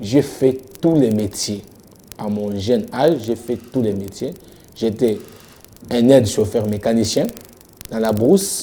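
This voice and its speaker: A man's dark, mellow tone at a very slow pace, with long, frequent pauses. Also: medium pitch for a man, ordinary pitch variation. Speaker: pastor. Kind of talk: interview.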